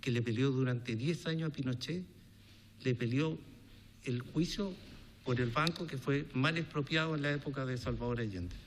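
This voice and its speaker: A man with a Chilean accent speaks at a moderate pace and medium pitch. His speech has long, frequent pauses. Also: ordinary pitch variation. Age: 60s. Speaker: businessman testifying before a congressional commission. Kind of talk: testimony.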